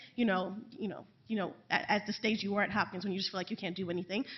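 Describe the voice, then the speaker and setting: In a New York accent, a woman talks at a very fast pace. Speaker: assistant professor of public health. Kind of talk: panel talk. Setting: panel event with audience. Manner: loud.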